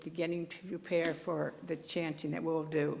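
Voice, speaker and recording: A fairly low-pitched woman with vocal fry and fairly even intonation, at a fairly slow pace, with audible room echo. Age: old. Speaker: minister's assistant giving a dharma talk. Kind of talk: dharma talk. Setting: temple service with congregation. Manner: conversational, some halting restarts.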